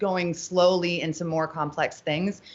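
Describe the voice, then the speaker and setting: A woman is heard over noticeable background noise. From Pittsburgh, Pennsylvania, US Northeast. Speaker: XR experience presenter. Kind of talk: podcast interview. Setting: live stream. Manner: fast; loud.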